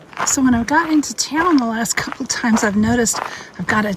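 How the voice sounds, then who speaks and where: A woman speaks in a fairly high pitch. Noticeable background noise is present. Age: 60s. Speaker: long-distance hiker vlogger. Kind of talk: casual vlog narration. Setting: outdoors on a hiking trail.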